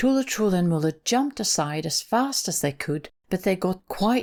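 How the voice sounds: Someone reads in a natural reading voice with lively intonation.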